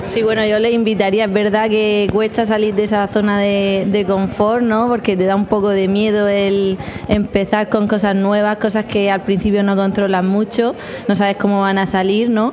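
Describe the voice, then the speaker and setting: A woman at a medium pitch and moderate pace, very even in loudness and monotone in intonation, amid noticeable background noise and audible room echo. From Cartagena, Murcia, Spain. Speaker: primary school teacher. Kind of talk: vox pop interview. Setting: education conference.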